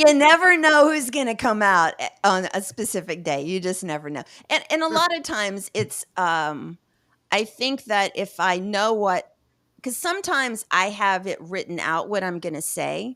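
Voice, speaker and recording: A woman with an American accent speaks at a moderate pace and medium pitch, her voice swinging very widely in pitch on a very clean recording with a silent background. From US South. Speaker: podcast co-host. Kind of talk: casual chat.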